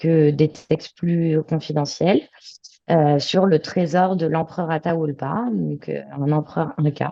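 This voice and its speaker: Very deep and low, this woman's voice has a dark, mellow tone. She speaks very slowly with fairly even intonation. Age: 30s. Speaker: adventurer. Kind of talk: interview. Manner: many fillers.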